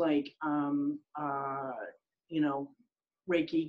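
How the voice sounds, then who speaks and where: A woman talks at a fairly slow pace with an American accent. Her tone is dark and mellow, with ordinary pitch variation. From Rhode Island, US. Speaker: business consultant. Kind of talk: interview. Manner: halting, many fillers.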